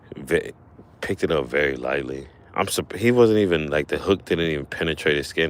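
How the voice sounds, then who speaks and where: A man speaks at a fairly quick pace. His voice has vocal fry. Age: 40s. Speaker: fishing streamer. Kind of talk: casual live stream chat. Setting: outdoors fishing. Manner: casual, halting with fillers.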